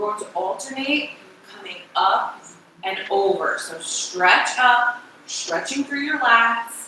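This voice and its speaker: Over noticeable background noise and audible room echo, a woman speaks very slowly at a fairly high pitch, her intonation lively and her loudness swinging widely. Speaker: fitness instructor. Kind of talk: workout instruction.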